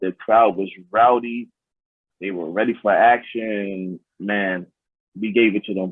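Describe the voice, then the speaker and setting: With a New York accent, a man talks fairly slowly at a fairly low pitch, his intonation fairly even. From New York City. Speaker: pro wrestler. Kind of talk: interview.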